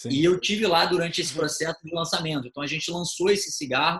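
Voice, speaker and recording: Speaking at a very fast pace, a man uses a bright, sharp tone with ordinary pitch variation. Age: 30s. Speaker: event producer and marketer. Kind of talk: podcast interview.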